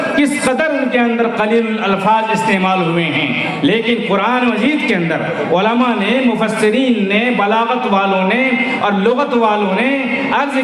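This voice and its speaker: Against noticeable background noise, a man talks at an extremely high pitch with ordinary pitch variation. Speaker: Islamic scholar giving a religious sermon. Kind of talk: religious sermon to a large gathering. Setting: public address at a large event with a PA system. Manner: oratorical, emphatic.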